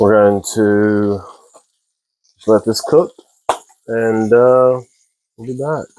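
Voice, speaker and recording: A man with an American accent, very slow, with big swings in loudness, long and frequent pauses, a dark, mellow tone and fairly even intonation. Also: medium pitch for a man. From Texas. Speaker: home cooking video maker. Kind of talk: casual cooking tutorial.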